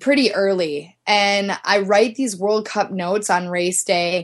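In an ordinary speaking voice, a woman with an American accent talks at a medium pitch with fairly even intonation. The background is quiet. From US Midwest. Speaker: ski team press officer. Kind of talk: interview.

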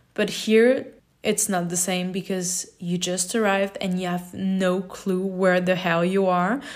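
Speaking with a non-native accent, a woman delivers her words in a monotone, flat intonation. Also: medium pitch for a woman, fairly slow pace. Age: 20s. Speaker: podcaster. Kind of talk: solo podcast monologue.

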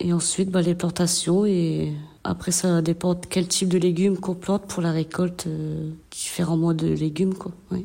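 A woman with a fairly low pitch and monotone, flat intonation at a moderate pace, with noticeable background noise. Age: 40s. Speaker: garden and vegetable-processing worker in job reintegration. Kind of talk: testimony. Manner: hesitant.

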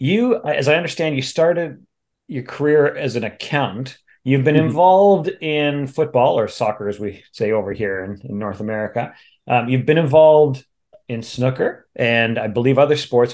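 With a plain, everyday voice, a man speaks at a moderate pace, his pitch fairly high and his intonation lively. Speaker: music podcast host.

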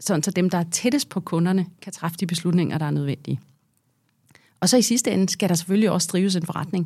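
Somewhat breathy and dark and mellow in tone, a woman with a fairly low pitch speaks at a fairly quick pace. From Denmark, Herlev (Copenhagen area). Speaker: business executive and board member. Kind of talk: interview.

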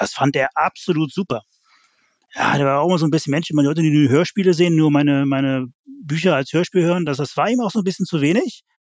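There is little noise behind this man as he rattles off his words very quickly in a fairly high register. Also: ordinary pitch variation, dry, close sound with no echo. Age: 50s. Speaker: fan website founder. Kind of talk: casual chat.

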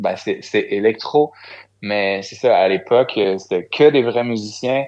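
A man with a Quebec accent and ordinary pitch variation. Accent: Québécois French. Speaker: singer-songwriter. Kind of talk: interview.

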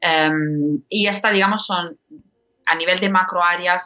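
At a fairly slow pace, a woman speaks with a non-native accent. Her pitch is fairly low and her intonation fairly even. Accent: foreign accent in Spanish. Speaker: podcast platform executive. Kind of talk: interview. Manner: halting, many fillers.

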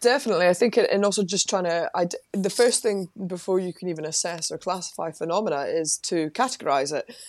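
A Lothian accent at a very fast pace with hardly any pauses and ordinary pitch variation, on a very clean recording with a silent background and a dry, close sound with no echo. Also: woman, medium pitch for a woman. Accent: Scottish (Lothian). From Scotland, Livingston, West Lothian. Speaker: parapsychologist and former psychology lecturer. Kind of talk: interview.

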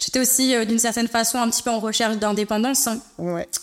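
This woman has an ordinary speaking voice, pitched fairly high. She talks at a fairly quick pace with fairly even intonation. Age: 30s. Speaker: beauty business founder. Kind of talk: interview. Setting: studio.

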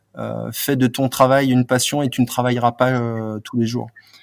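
At a fairly slow pace, a man of medium pitch speaks with fairly even intonation. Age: 40s. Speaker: PR and marketing manager for a bike brand, former sports journalist. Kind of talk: interview. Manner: hesitant, many fillers and repetitions.

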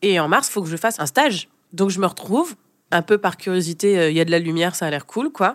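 An ordinary speaking voice from a woman, fairly low in pitch, with ordinary pitch variation, a fairly quick pace, and a dry, close sound with no echo. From France. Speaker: brand consultant and jazz singer. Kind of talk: interview, casual chat.

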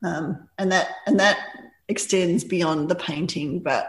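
A somewhat breathy woman's voice with an Australian accent, fairly low in pitch, fairly slow and fairly even in intonation. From rural Victoria, Australia. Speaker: artist. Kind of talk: casual interview.

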